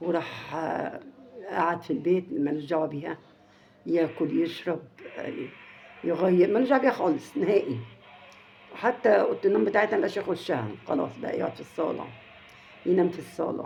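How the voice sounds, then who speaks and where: Very wide pitch swings and long, frequent pauses in an Egyptian accent, against noticeable background noise. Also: woman, fairly low pitch for a woman, moderate pace. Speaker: family vlogger. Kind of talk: casual storytelling to viewers. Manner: halting, many repetitions; raised volume slightly.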